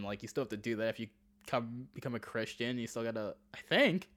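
On a very clean recording with a silent background, a man with an American accent and an unremarkable speaking voice talks at a fairly quick pace. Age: 30s. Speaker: comedian. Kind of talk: casual chat.

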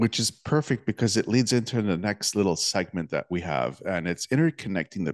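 A man's fairly low voice, a normal speaking voice, with lively intonation at a fairly quick pace, dry and close with no echo, over a quiet background. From Toronto area, Canada. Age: 40s. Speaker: podcast host. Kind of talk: interview.

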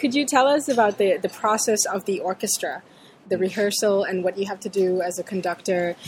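Here is a woman with an ordinary speaking voice at a medium pitch. She moves at a fairly quick pace with ordinary pitch variation. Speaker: interviewer. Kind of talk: interview.

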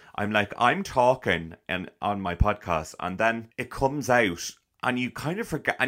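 A man with a Dublin accent speaks at a medium pitch in an animated tone, his pitch swinging very widely. The recording is very clean, with a silent background. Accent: Irish (Dublin area). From Ireland, town near Dublin. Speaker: actor and podcaster. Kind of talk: casual interview chat.

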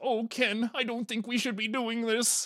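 In a put-on character voice, the speaker talks at a moderate pace with a fairly high pitch, a monotone, flat intonation and a timid tone. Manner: timid, pleading.

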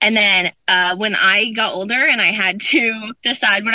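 An American accent marks a woman's fairly high, normal speaking voice, which has ordinary pitch variation. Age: 20s. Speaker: youth soccer program director. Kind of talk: interview.

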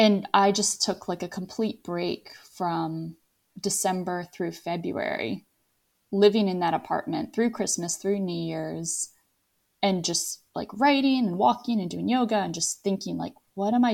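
A woman speaks at a fairly slow pace and medium pitch with ordinary pitch variation. Hers is an unremarkable speaking voice, in a very clean recording with a silent background. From Virginia, US. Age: 30s. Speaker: financial planner. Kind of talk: interview.

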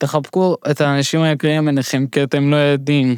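Over a silent background in a very clean recording, a man speaks at a fairly high pitch with monotone, flat intonation. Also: dry, close sound with no echo. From immigrant to Israel. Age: 30s. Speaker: stand-up comedian living with Huntington's disease. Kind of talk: podcast interview, personal story.

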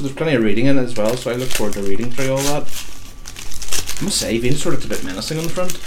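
A man at medium pitch talks at a very fast pace with hardly any pauses, his pitch swinging very widely against noticeable background noise. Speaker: podcast co-host. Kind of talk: radio DJ patter, jokey banter. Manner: animated, jokey.

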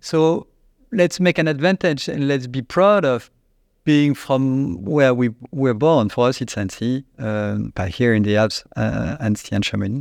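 A man speaks in a French accent at a fairly slow pace, his pitch medium and his intonation lively. The background is quiet. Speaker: company CEO. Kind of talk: interview answers. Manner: halting, hesitant.

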